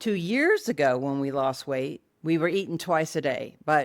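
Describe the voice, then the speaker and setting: Her intonation is lively and her pace fairly slow. The woman's voice sits fairly low, captured in a very clean recording with a silent background. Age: 60s. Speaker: lifestyle vlogger. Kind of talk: vlog monologue.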